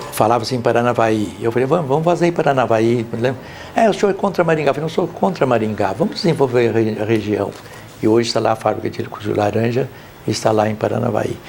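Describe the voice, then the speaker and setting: Lively intonation and a very fast pace over noticeable background noise. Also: man, medium pitch for a man. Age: 90s. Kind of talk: documentary interview.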